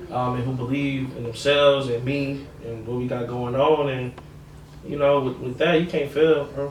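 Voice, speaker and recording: A man's fairly high, monotone, flat voice with an American accent, at a moderate pace, with audible room echo and noticeable background noise. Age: 20s. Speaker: musician and record label owner. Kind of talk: casual interview chat.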